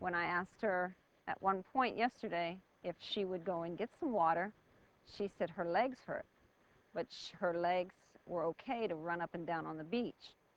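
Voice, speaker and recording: With an American accent, a woman speaks at a moderate pace and medium pitch, using ordinary pitch variation. She leaves long, frequent pauses. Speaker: reality show contestant. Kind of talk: interview. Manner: loud.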